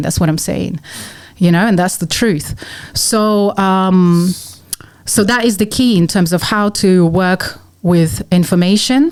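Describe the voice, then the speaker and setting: Ordinary pitch variation in a woman's voice at a medium pitch. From Russia (Moscow). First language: Russian. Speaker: musician. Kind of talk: podcast interview.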